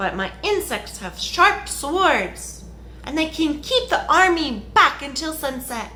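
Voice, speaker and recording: A put-on character voice, high-pitched and raised and projected, at a fairly slow pace over clear background noise. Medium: read story. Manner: calm, knowing.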